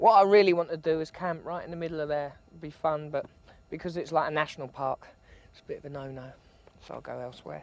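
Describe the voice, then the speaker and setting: A man with a British accent talks at a very fast pace in a fairly high voice. His intonation stays fairly even while his loudness swings widely. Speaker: travel presenter. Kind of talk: travel documentary narration.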